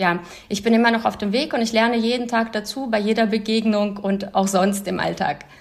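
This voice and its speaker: A woman's monotone, flat speech at a moderate pace. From former Soviet Union, moved to Germany at twelve. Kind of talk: interview. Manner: hesitant with fillers.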